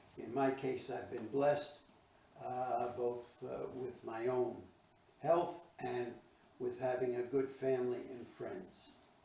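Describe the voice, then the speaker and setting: With an American accent, a man speaks at a very slow pace and medium pitch with fairly even intonation, amid audible room echo and noticeable background noise. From New Jersey (Bayonne). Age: 90s. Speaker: retired management consultant. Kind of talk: interview. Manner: halting, many filler uh's; formal.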